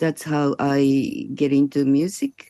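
In a quiet setting with dry, close sound and no echo, a woman with a Japanese accent speaks very slowly in a dark, mellow tone. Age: 60s. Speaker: electronic musician. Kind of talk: interview. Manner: halting.

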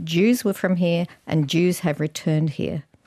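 Speaking at a fairly slow pace, a woman with an Australian accent has a dark, mellow tone. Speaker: artist and academic. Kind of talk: interview.

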